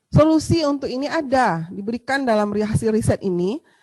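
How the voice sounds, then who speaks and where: A woman's fairly high voice with a Sumatran accent, lively intonation and a moderate pace, in a dry, close sound with no echo. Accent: Sumatran, forceful tone. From Sumatra, Indonesia. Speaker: midwifery lecturer. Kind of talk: lecture. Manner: hesitant fillers.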